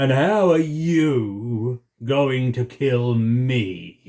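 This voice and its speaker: A man puts on a character voice at medium pitch and talks at a very slow pace. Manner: menacing, haughty, amused.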